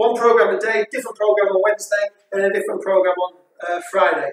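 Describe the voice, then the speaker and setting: A man speaks with a high pitch at a fairly quick pace. Audible room echo surrounds his voice. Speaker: fitness instructor. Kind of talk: workout instruction. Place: gym. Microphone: camera far.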